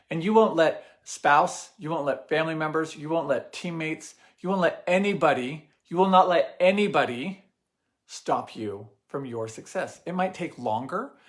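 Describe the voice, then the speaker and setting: A man with high pitch, an energetic tone, lively intonation and big swings in loudness. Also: moderate pace. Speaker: network marketing team leader. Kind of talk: motivational live stream talk. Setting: live video stream. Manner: energetic, repetitive emphasis.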